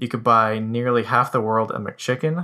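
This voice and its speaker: At a moderate pace, a man talks at a medium pitch in a bright, sharp tone. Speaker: economics researcher segment guest. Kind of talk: scripted-style informative segment.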